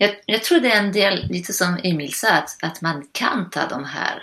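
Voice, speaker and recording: A woman speaks with a French accent. Her voice sits at a fairly low pitch. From northern France. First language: French (speaking Swedish). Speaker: general practitioner. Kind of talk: casual chat. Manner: halting.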